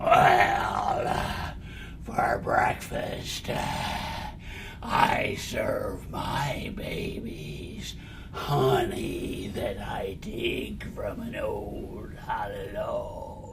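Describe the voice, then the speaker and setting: A man puts on a character voice and talks at a very slow pace. Loud background noise runs behind him. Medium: read story. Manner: slow, halting.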